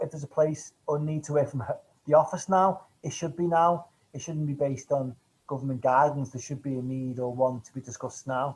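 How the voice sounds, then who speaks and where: A man with a Manchester accent speaks at a fairly quick pace in a fairly high, somewhat breathy voice with a dark, mellow tone and fairly even intonation. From northern England, Manchester. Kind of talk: webinar presentation. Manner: fast.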